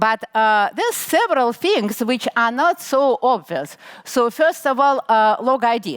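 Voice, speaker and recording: A high-pitched woman's voice, fairly slow and with lively intonation, in a dry, close sound with no echo and noticeable background noise. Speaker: conference speaker. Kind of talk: technical talk.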